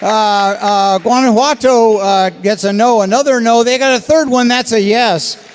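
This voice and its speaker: A man speaks in an extremely high pitch at a moderate pace with hardly any pauses. Noticeable background noise is present. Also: ordinary pitch variation, very even loudness. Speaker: contest scoreboard presenter. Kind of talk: live commentary. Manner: animated.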